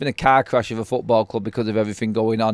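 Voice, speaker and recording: A man with a strong Mancunian accent, dry and close with no echo, on a very clean recording over a silent background. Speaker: football fan channel host. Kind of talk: live stream chat. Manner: casual, with many fillers.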